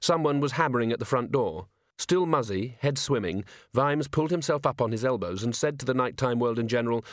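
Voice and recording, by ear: Reading aloud in a natural voice, with ordinary pitch variation over a quiet background.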